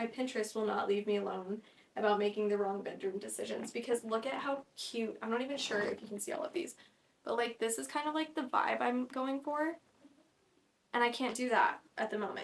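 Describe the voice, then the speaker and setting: This woman talks at a fairly high pitch with ordinary pitch variation. Her pace is fairly quick. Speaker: podcast host, content creator. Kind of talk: casual solo chat. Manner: fast; animated.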